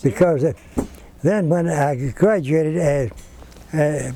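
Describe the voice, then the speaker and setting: A man with a fairly high voice at a fairly slow pace. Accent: Texan. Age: 80s+. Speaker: retired school teacher. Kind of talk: interview answer.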